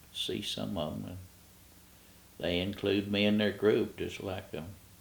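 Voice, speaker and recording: A man with a Kentucky accent talks at a fairly slow pace. He takes long, frequent pauses. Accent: Kentucky, US South. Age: 80s+. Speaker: retired park ranger. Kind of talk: oral history interview. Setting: at home. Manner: halting.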